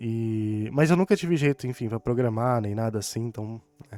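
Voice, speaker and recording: A mumbling man at a medium pitch, in a dry, close sound with no echo. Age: 20s. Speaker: gaming YouTuber. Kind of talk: casual chat.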